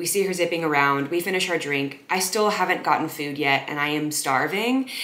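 The speaker talks at a fairly quick pace with ordinary pitch variation. There is audible room echo. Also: woman, very deep, low pitch for a woman. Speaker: content creator. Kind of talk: casual storytelling vlog. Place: home room.

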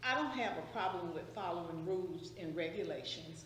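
With a Southern US accent, a woman speaks at a medium pitch with ordinary pitch variation. Noticeable background noise and audible room echo fill the recording. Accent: Southern US (Georgia). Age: 60s. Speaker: public commenter. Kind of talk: public comment at meeting.

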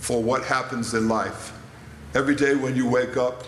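Against noticeable background noise, the speech moves at a fairly slow pace with fairly even intonation. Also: man. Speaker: panelist. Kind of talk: interview answer. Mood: calm, teaching tone. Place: church. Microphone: handheld.

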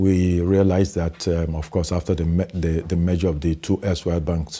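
A man with a very deep, low pitch, a dark, mellow, somewhat breathy tone, flat monotone intonation and a fairly quick pace. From Ghana. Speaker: bank executive. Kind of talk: interview. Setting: studio. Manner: halting. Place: studio. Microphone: lapel.

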